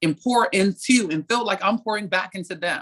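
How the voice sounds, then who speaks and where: A woman speaks at a very fast pace with a medium pitch. The sound is dry and close, with no echo. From Baltimore. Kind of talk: panel discussion.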